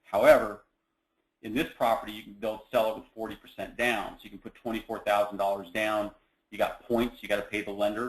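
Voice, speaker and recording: A man speaks at a fairly quick pace with a fairly low pitch and monotone, flat intonation. His loudness swings widely. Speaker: real estate investment presenter. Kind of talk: webinar presentation. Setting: online webinar. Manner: fast.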